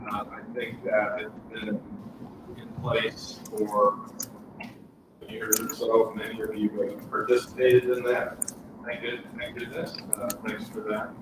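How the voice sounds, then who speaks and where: Over noticeable background noise, a man speaks at a very slow pace with big swings in loudness. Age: 60s. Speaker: physician on panel. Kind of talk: panel discussion.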